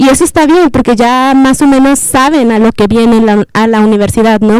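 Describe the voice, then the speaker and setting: A woman with a plain, everyday voice speaks at a fairly high pitch and a moderate pace, with ordinary pitch variation. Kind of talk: panel discussion.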